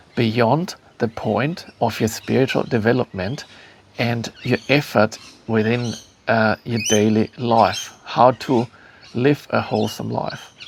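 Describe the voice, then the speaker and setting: Over noticeable background noise, a man with a German accent speaks at a very slow pace in a medium pitch. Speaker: spiritual teacher and author. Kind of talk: talk to camera. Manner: halting, many fillers.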